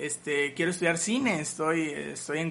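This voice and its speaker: This man has an ordinary speaking voice with fairly high pitch. He talks at a moderate pace. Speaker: musician. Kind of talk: interview.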